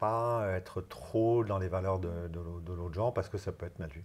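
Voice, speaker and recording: A man's very deep, low voice, somewhat breathy, with ordinary pitch variation and a moderate pace. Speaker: HR consultant and LGBT+ business leader. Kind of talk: interview. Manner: halting, many hesitations.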